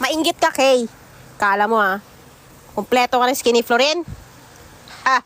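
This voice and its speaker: Recorded dry and close with no echo, a woman speaks at a high pitch and a moderate pace, with ordinary pitch variation, very even loudness, and long, frequent pauses. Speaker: mobile game livestreamer. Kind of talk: live gaming stream chat. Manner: animated.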